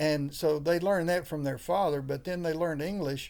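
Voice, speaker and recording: A man speaks with a Southern US accent. His pitch is fairly high and his intonation fairly even. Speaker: pastor. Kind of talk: interview conversation. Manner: halting, many fillers.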